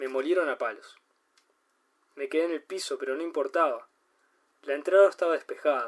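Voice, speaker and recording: A man in a Uruguayan accent at a moderate pace. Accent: Uruguayan Rioplatense Spanish. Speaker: podcast host and amateur fiction writer. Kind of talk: reading aloud own short story.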